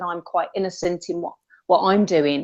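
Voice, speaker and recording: A woman speaks with a West Midlands accent. Her pitch is medium, with ordinary pitch variation. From West Midlands, England. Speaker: caller in debate livestream. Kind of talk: casual chat.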